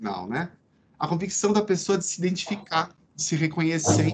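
His intonation lively and his pitch high, a man talks at a moderate rate. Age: 40s. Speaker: psychiatrist and lecturer. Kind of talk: lecture. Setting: video call from home veranda.

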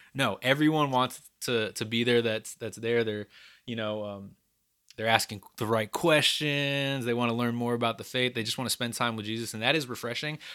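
In a very clean recording with a silent background, a man speaks at a moderate pace with a bright, sharp tone, medium pitch and fairly even intonation. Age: 30s. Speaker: podcast co-host, campus ministry. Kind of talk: casual chat.

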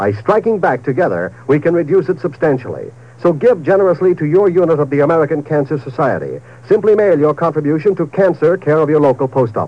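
With vocal fry and an upbeat tone, a man talks at a very fast pace in a fairly high pitch, his intonation lively and his loudness very even. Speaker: radio announcer. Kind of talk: old-time radio commercial and network promo announcements. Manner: polished, upbeat, brisk, formal.

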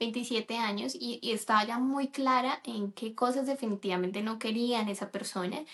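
Speaking at a moderate pace with hardly any pauses, a woman uses a plain, everyday voice that is fairly high-pitched, her intonation fairly even. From Colombia. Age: 30s. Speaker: podcast co-host, nutrition student. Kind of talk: casual chat.

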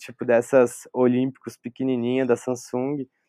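With a dark, mellow tone at medium pitch, a man is heard dry and close with no echo, against a quiet background. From São Paulo state interior (Vale do Paraíba, Taubaté), born in Porto Velho. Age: 20s. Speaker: photographer. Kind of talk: casual chat. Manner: halting, repeats words.

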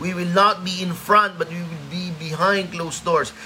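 Over noticeable background noise and audible room echo, a man with a high pitch talks at a moderate pace with ordinary pitch variation. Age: 30s. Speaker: pastor. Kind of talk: sermon; casual chat.

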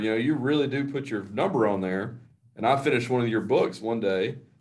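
It is a plain, everyday voice. The pace is fairly quick. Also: man. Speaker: podcast co-host, athletic administrator, ex basketball coach. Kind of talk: interview.

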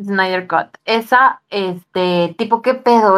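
A woman's medium-pitched voice in a Mexican accent, with ordinary pitch variation. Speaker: podcast co-host. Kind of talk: casual chat.

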